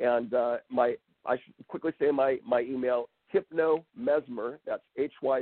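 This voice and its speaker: Here a man talks at a medium pitch. He has an unremarkable speaking voice. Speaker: hypnotherapist. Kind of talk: interview.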